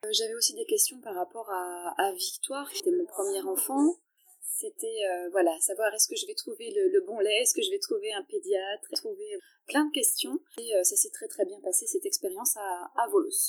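A woman speaks at a high pitch and moderate pace. Her pitch swings very widely. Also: dry, close sound with no echo. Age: 30s. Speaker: wellness coach and athlete's partner. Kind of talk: interview. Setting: hotel lobby. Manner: halting.

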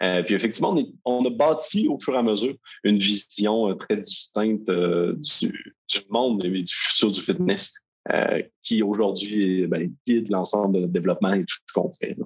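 A man's fairly low voice at a moderate pace, with ordinary pitch variation. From Quebec. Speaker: software company founder. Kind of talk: interview.

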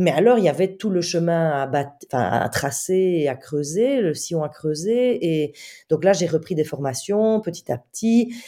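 On a very clean recording with a silent background, a woman speaks fairly slowly in a fairly low, dark and mellow voice with lively intonation. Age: 40s. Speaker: comedian and author. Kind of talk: interview.

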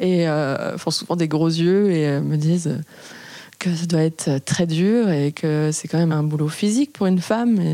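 A woman's fairly low voice, dark and mellow, at a fairly slow pace with ordinary pitch variation. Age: 20s. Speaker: house painter. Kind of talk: testimony.

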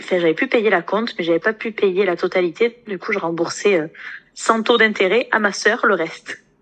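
With a normal speaking voice, the speaker keeps a moderate pace and ordinary pitch variation. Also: woman, medium pitch for a woman. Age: 20s. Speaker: nurse and coaching client. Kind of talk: interview testimony.

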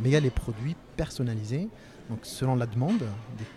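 His voice sits at a medium pitch. The man keeps to a moderate pace. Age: 30s. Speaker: sales engineer. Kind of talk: interview. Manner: halting.

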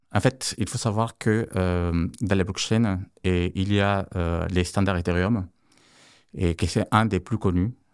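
A man with a non-native accent talks at a very slow pace in a very deep, low voice with fairly even intonation. The recording is very clean, with a silent background and a dry, close sound with no echo. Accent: foreign accent in French. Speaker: tech co-founder of startup. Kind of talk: interview. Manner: halting, many fillers.

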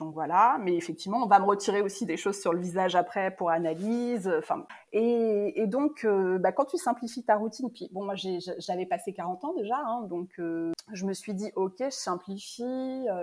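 The recording is very clean, with a silent background. A woman talks fairly slowly at a medium pitch, her intonation lively. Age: 40s. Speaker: face yoga teacher. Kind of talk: interview. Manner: hesitant, many fillers.

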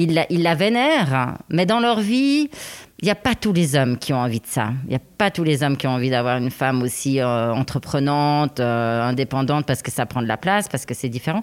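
Her voice very deep and low, a woman speaks at a fairly quick pace with very wide pitch swings. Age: 40s. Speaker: podcast guest. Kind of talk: casual chat. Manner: halting.

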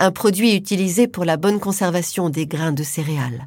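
Heard on a very clean recording with a silent background, a woman at medium pitch speaks in a dramatic tone. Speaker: podcast narrator. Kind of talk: true-crime narration. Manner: suspenseful, hushed, dramatic; measured, slow-paced storytelling.

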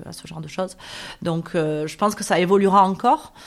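A woman speaks with fairly even intonation. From Marseille, southern France (northern districts). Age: 40s. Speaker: blogger and entrepreneur. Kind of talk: interview conversation. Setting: apartment in Marseille.

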